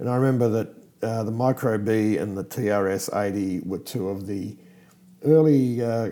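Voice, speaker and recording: This man has an Australian accent and a medium pitch. His dark, mellow tone comes with ordinary pitch variation at a fairly slow pace. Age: 50s. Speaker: podcast host. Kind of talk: casual chat. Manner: hesitant with fillers.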